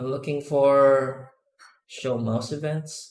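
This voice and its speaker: Speaking very slowly in a non-native accent, a man holds a medium pitch and fairly even intonation, with audible room echo. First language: not English. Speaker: 3D artist and add-on developer. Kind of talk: live tutorial. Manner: sometimes slow, searching for words; halting, many fillers.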